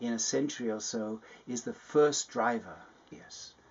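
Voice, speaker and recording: A man is talking. He speaks with an English accent. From England. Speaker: climate scientist. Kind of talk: personal testimony interview.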